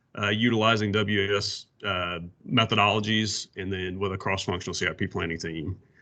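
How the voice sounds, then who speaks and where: At a fairly quick pace, a man speaks in a fairly low, monotone, flat voice. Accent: Southern US. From US South. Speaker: water utility planner presenting. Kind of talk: workshop presentation.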